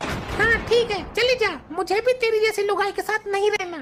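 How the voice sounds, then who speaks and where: A cartoonish character voice squeaks at an extremely high pitch. Sound effects play in the background. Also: moderate pace. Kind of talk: comic overacting.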